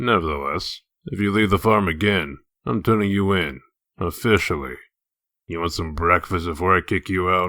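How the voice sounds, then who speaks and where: In a very clean recording with a silent background, a man puts on a gruff character voice, very deep and low in pitch, delivered deadpan at a moderate pace. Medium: fan dub. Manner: dry, deadpan, gruff.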